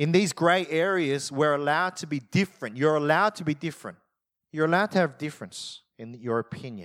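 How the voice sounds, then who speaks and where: An animated man talks at a fairly quick pace and a fairly high pitch, with ordinary pitch variation and big swings in loudness. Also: very clean recording, silent background. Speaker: pastor. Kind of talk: sermon. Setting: church. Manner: loud at times, may yell.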